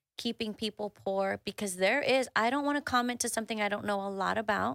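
The woman's voice sits fairly high, with ordinary pitch variation. The recording is very clean, with a silent background and a dry, close sound with no echo. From Houston, Texas, Mexican-American family. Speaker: executive coach and author. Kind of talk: casual interview chat. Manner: animated, expressive.

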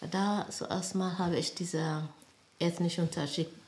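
Her voice is fairly low in pitch, and the woman speaks with an Ethiopian accent. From Ethiopia, Addis Ababa. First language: Amharic (speaking German). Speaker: nurse and midwife. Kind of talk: life story interview. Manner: halting.

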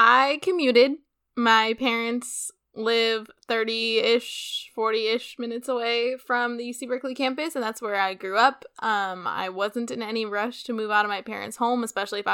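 A woman with a Californian accent speaks at a fairly high pitch with ordinary variation, her tone bright and sharp, on a very clean recording with a silent background. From San Francisco Bay Area. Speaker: podcast co-host, former student. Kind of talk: casual chat.

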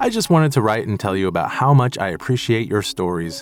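A man's fairly quick speech, with very wide pitch swings, is set against music in the background. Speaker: co-producer reading listener emails. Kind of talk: reading aloud.

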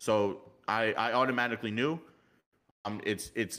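A man's medium-pitched voice with a slight New York accent, ordinary pitch variation, and a very clean recording over a silent background. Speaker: motorcycle club member. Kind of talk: casual chat.

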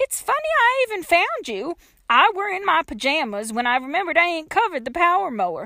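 A woman's put-on character voice, extremely high-pitched, with a bright, sharp tone and big pitch swings. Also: fairly quick pace.

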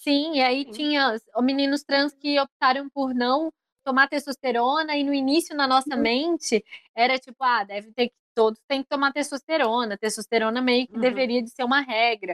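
Delivered at a moderate pace with fairly even intonation, the voice swings widely in loudness, and the sound is dry and close with no echo. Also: woman, high pitch for a woman. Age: 20s. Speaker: podcaster. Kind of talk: casual chat.

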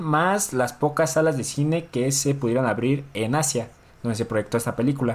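This is a normal speaking voice. It keeps a moderate pace with lively intonation. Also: man. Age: 20s. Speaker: podcast co-host. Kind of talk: casual chat.

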